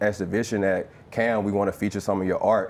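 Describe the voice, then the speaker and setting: This man talks in a Louisiana accent with a fairly low pitch. His intonation is monotone and flat. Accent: Southern (Louisiana). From Louisiana, US South. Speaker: former pro football player and artist. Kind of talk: live conversation at presentation. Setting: live event with audience. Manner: casual, many filler ums.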